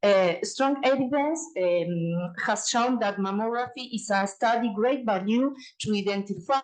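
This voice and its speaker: A woman speaks with a Uruguayan accent at a fairly slow pace. Her fairly high voice has ordinary pitch variation. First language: Spanish. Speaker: radiologist and researcher. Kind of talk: conference presentation. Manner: halting, many fillers and restarts.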